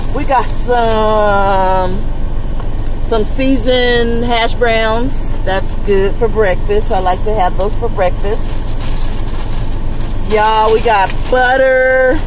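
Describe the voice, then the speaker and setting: With noticeable background noise behind her, a woman speaks at a very slow pace with long, frequent pauses, fairly even intonation and very even loudness. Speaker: truck driver vlogger. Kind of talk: casual vlog chat. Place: car. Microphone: phone near.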